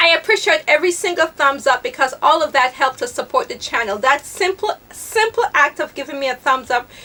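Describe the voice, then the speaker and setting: Over noticeable background noise, a woman projects a raised, high-pitched voice whose pitch swings very widely. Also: fairly quick pace. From Jamaica. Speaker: fashion vlogger. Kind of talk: casual chat. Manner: fast.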